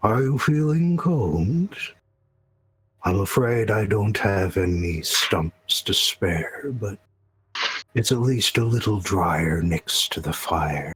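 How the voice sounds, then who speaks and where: A man puts on a character voice, pitched fairly low and delivered very slowly. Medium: actual play. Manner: relaxed, friendly.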